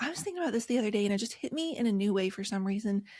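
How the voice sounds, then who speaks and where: Speaking in an American accent, a woman sounds somewhat breathy. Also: very clean recording, silent background. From rural West Virginia. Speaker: author and podcast host. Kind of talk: interview.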